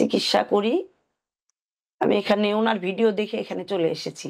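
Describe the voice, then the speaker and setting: A woman speaks at a medium pitch with flat, monotone intonation. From Thakurgaon, northern Bangladesh. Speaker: patient, nursing supervisor. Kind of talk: testimony.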